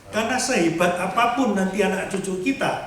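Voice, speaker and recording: Noticeable background noise and audible room echo accompany the voice. A man with a high pitch speaks at a moderate pace. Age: 60s. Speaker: lay preacher. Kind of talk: sermon.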